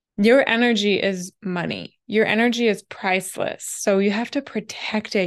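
Recorded very cleanly against a silent background, a woman speaks at a medium pitch with fairly even intonation.

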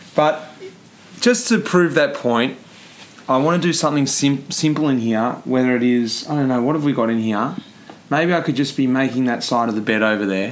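Speaking with an Australian accent, a man of medium pitch talks at a moderate pace with ordinary pitch variation. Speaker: podcast host and cyclist. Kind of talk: casual interview.

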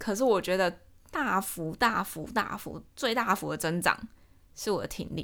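This woman has a normal speaking voice, medium in pitch, with lively intonation and a fairly slow pace. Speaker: podcast host. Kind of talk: casual solo talk.

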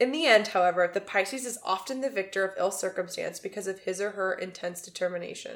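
A woman with an American accent at a moderate pace, lively in intonation. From Texas. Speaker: podcast co-host. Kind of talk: casual chat, reading aloud from a website. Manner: halting, stumbling over words while reading.

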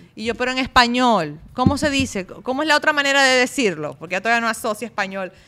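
Delivered at a very fast pace, this bright, sharp voice comes through a very clean recording with a silent background. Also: woman. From Venezuela (Maracaibo). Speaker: fitness coach. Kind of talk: casual chat. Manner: talkative.

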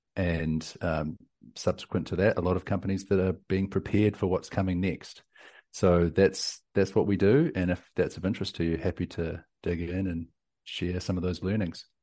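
Over a quiet background, a man with a New Zealand accent speaks at a very deep, low pitch in a dark, mellow tone with fairly even intonation. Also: moderate pace. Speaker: tech company CEO and entrepreneur. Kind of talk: interview. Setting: remote call.

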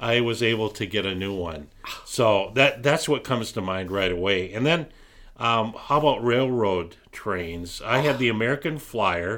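An unremarkable speaking voice from a man, medium in pitch, with lively intonation and a moderate pace. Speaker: podcast co-host. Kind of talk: casual chat.

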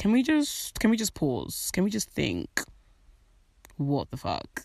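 A woman with a British accent, animated in tone, on a very clean recording with a silent background. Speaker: podcast host. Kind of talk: casual monologue.

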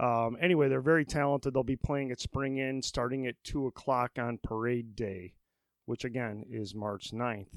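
A medium-pitched man with a Midwestern US accent, recorded dry and close with no echo against a very clean, silent background. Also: ordinary pitch variation, moderate pace. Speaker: podcast host. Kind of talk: casual interview. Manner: informal, jokey.

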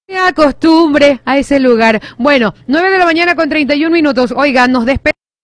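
A woman with a high pitch speaks at a moderate pace with ordinary pitch variation and hardly any pauses. Her sound is dry and close, with no echo. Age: 30s. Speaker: radio host. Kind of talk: news reading; casual chat.

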